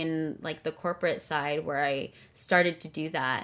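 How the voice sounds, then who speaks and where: A woman talks with a Californian accent. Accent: Californian American. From Southern California. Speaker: executive producer and singer. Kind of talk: interview conversation.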